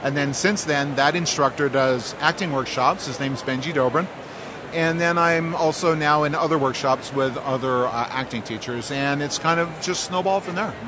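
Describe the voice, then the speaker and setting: At a moderate pace, a man with a fairly high pitch speaks with ordinary pitch variation over noticeable background noise. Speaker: actor and voice actor. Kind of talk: casual interview.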